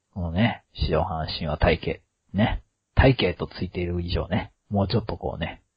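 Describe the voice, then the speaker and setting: The man's voice sits very deep and low, somewhat breathy. He speaks at a moderate pace with ordinary pitch variation. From Kansai. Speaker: podcast host. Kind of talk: casual chat.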